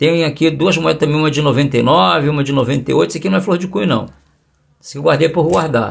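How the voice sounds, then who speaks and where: This man's fairly high voice carries vocal fry, with ordinary pitch variation at a moderate pace. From Brazil. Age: 60s. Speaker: coin collecting youtuber. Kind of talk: tutorial. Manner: animated. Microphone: phone near.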